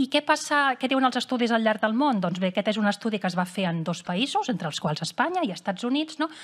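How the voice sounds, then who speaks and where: A woman's somewhat breathy, fairly high voice at a very fast pace, with very wide pitch swings. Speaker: cardiologist. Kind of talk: lecture. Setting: stage with audience. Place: hall.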